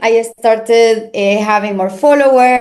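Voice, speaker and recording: A woman speaks with a Spanish accent. Her intonation stays fairly even. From Argentina. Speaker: crypto marketing manager. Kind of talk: interview. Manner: halting, many fillers.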